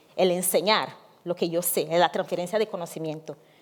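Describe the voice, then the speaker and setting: A woman with a plain, everyday voice talks at medium pitch and a moderate pace, her pitch varying in an ordinary way. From Africa. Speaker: activist, founder of migrant women's association. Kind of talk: panel talk.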